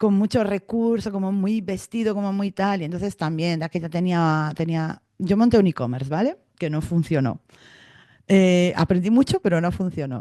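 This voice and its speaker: In a dry, close recording with no echo, a woman speaks at medium pitch with a dark, mellow tone and ordinary pitch variation. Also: moderate pace. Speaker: podcast host. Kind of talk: casual podcast conversation.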